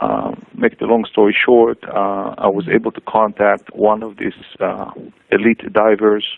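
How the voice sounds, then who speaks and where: A man speaks with an Israeli accent. His pace is fairly slow. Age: 40s. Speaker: cancer patient. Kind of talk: testimony. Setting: radio show. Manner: hesitant, many fillers.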